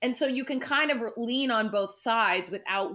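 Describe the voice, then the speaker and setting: In a West Coast US accent, a woman speaks with an animated, bright, sharp tone at a moderate pace. The recording is very clean, with a silent background. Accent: General American, West Coast. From Southern California. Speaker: musical theatre actress. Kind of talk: podcast interview.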